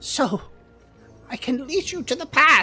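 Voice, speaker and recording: A female-sounding voice puts on a high-pitched character voice while faint music plays in the background. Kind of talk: fantasy role-play acting. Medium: actual play. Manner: archaic, hesitant, grandmotherly, says "dearie".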